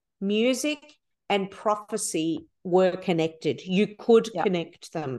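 A woman with an Australian accent, with lively intonation at a very slow pace. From Melbourne, Australia. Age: 50s. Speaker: worship leader and songwriter. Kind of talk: interview conversation.

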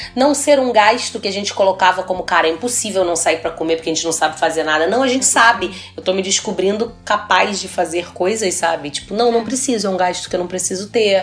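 Noticeable background noise sits beneath a woman's speech. She talks very fast, hardly pausing at all. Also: medium pitch for a woman, ordinary pitch variation. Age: 30s. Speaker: gynecologist and podcast host. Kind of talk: casual chat.

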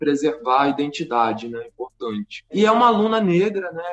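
A man's high-pitched voice at a moderate pace. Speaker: podcast co-host and teacher. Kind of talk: casual discussion.

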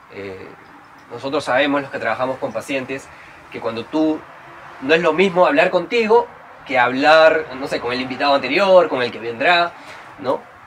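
A man speaks with lively intonation and big swings in loudness, leaving long, frequent pauses. Noticeable background noise runs underneath. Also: fairly high pitch for a man, moderate pace. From Peru (Trujillo). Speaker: psychologist and podcast host. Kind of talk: interview conversation.

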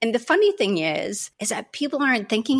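A woman speaks with a Canadian accent and vocal fry. Her pitch swings very widely. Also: very clean recording, silent background. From Canada. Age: 40s. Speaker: self respect coach. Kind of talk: interview.

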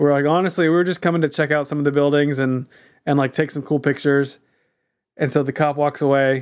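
Someone with an American accent talks at a very fast pace in a very clean recording with a silent background. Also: man. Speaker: podcast co-host. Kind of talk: casual chat.

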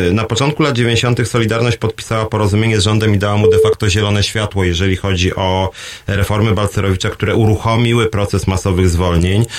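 A man at a very fast pace and fairly low pitch, with very even loudness and hardly any pauses. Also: fairly even intonation. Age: 40s. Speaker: radio host and trade union leader. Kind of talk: radio call-in show, solo commentary.

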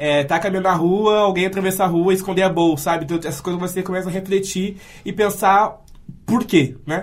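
The man's pitch is high and his intonation fairly even. He speaks at a fairly quick pace. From Santa Cruz do Sul, Rio Grande do Sul, Brazil. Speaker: literature student and activist. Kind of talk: radio interview.

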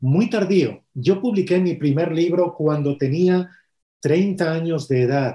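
A man's fairly high voice, dark and mellow in tone, with ordinary pitch variation. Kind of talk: interview.

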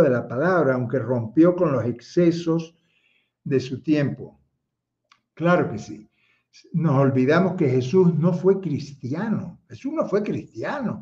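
Speaking at a fairly slow pace, a man uses lively intonation, his fairly high voice carrying a dark, mellow tone. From Cuba (Havana, Marianao). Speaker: theologian and online speaker. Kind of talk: livestream talk with chat greetings. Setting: livestream, chat only.

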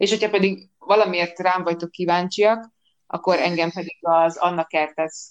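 At a moderate pace, a woman talks in a normal speaking voice, fairly low in pitch with fairly even intonation. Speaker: podcaster. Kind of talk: casual chat.

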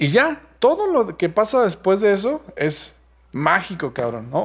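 A man is speaking. He talks with a Mexican accent. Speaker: podcast host. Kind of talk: casual chat. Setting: remote recording.

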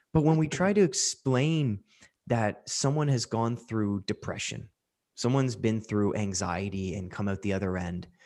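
An unremarkable speaking voice with a Canadian accent and ordinary pitch variation comes through over a quiet background. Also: man. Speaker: podcast host and mental health coach. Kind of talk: casual chat, podcast conversation.

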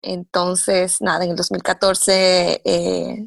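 Over a quiet background, a woman's voice comes through with a dry, close sound and no echo. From Dominican Republic. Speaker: mother of a child with Down syndrome. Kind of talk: casual interview.

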